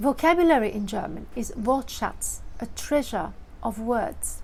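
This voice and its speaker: Audible room echo surrounds a woman who speaks very slowly at a high pitch with lively intonation. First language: Dutch (Flemish). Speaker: vlogger. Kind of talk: vlog monologue.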